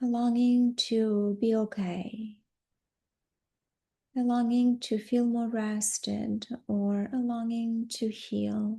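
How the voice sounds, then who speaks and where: Somewhat breathy, calm and soothing, a woman speaks in a dark, mellow tone at a fairly high pitch, with monotone, flat intonation, a very slow pace and long, frequent pauses. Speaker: yoga nidra guide. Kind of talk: guided yoga nidra relaxation. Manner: slow, calm, soothing.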